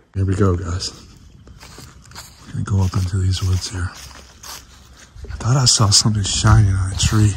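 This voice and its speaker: Noticeable background noise sits behind a man speaking fairly slowly in a very deep, low voice. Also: ordinary pitch variation. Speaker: paranormal YouTuber. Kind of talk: vlog narration outdoors. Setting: outdoors in woods at night. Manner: hushed, quiet.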